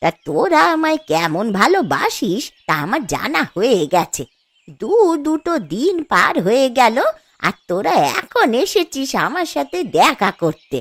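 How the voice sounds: A woman uses a cartoonish character voice at a high pitch. She moves at a fairly slow pace with big pitch swings.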